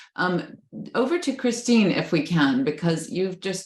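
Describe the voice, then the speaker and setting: A somewhat breathy woman with a North American accent speaks at a moderate pace, her pitch swinging very widely. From Canada and the US. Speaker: professor, panel moderator. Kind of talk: panel moderation. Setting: video call.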